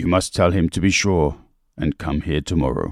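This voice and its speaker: Raspy and very deep in pitch, a man does a put-on character voice at a moderate pace. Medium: read story.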